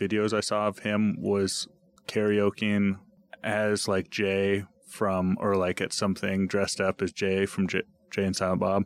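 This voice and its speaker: The man's pitch is fairly low and his pace is fairly slow. His sound is dry and close, with no echo. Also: very clean recording, silent background. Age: 30s. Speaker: podcast host. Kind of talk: casual chat.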